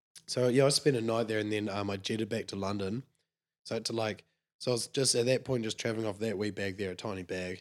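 In a New Zealand accent, a man talks at a very fast pace with a fairly low pitch and fairly even intonation, on a very clean recording with a silent background. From New Zealand, Clinton near Clutha. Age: 20s. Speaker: sheep shearer. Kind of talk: casual chat.

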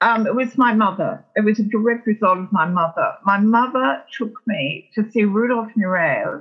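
With an Australian accent, a woman at a fairly high pitch talks at a moderate pace with lively intonation and hardly any pauses. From Melbourne, Australia. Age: 70s. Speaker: entertainment publicist. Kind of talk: interview conversation. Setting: remote call from her kitchen.

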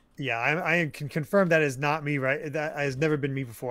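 A man with a plain, everyday voice, a fairly high pitch and a fairly quick pace. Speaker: podcast co-host. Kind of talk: casual chat.

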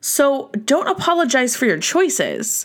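There is no background sound at all, and the recording is very clean. A woman talks in an animated tone. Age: 30s. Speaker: podcast host and small business owner. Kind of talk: casual solo podcast monologue.

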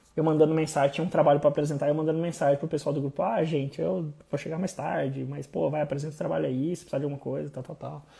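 A man talks with fairly even intonation at a fairly high pitch. His tone is dark and mellow. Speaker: podcast host. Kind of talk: casual personal storytelling monologue. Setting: Instagram live stream.

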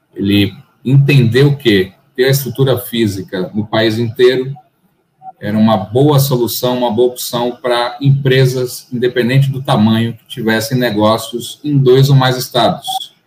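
Using fairly even intonation, a man with a plain, everyday voice speaks fairly slowly at a medium pitch. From Bahia, Brazil (Salvador). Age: 30s. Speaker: lawyer, law firm partner. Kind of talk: casual interview chat.

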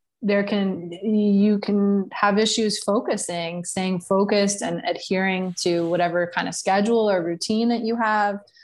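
Recorded very cleanly against a silent background, a woman with an American accent speaks at a fairly slow pace with a medium pitch, fairly even intonation and a plain, everyday voice. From New York. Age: 30s. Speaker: digital nomad and brand consultant. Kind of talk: casual interview.

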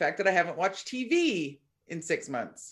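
A loud woman's voice at medium pitch, with very wide pitch swings. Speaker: podcast co-host. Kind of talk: casual chat. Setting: video call.

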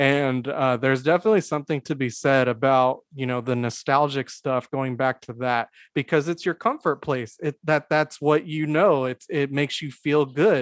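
A man with an unremarkable speaking voice talks at a moderate pace and fairly high pitch, with ordinary pitch variation and hardly any pauses. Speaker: podcast host. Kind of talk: casual chat. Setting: video call.

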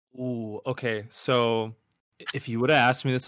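In a very clean recording with a silent background, a man with an American accent and a plain, everyday voice speaks at a moderate pace and medium pitch. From upstate New York, near Buffalo. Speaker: emo-rap artist. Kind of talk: casual interview.

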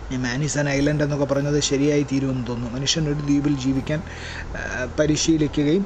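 A man's fairly high-pitched, monotone, flat delivery, with audible room echo and noticeable background noise. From Kerala, Kollam district village. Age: 50s. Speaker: poet and radio program executive. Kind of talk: reflective talk.

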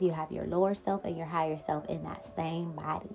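Music plays in the background as a woman talks in a fairly low voice. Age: 30s. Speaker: podcast host. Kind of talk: casual chat. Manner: animated.

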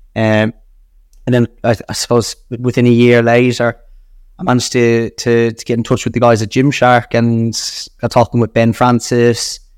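With an Irish accent, a man speaks at a moderate pace and medium pitch in a monotone, flat intonation. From Ireland. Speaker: brand partnerships director. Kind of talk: interview chat.

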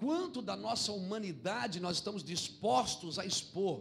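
In a room with audible echo, a man with a high pitch speaks with lively intonation. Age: 40s. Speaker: pastor. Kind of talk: sermon.

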